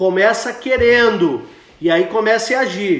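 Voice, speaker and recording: A man speaks in a high pitch. Noticeable background noise and audible room echo fill the recording. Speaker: pastor. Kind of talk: sermon. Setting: Instagram live video stream.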